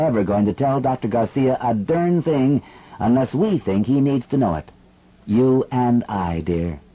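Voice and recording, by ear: Reading aloud in a natural voice, with lively intonation.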